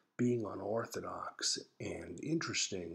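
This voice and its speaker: A man whispers quietly in an American accent. He goes at a fairly slow pace. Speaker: psychologist and therapist. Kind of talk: casual personal blog talk to camera. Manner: whispered, quiet.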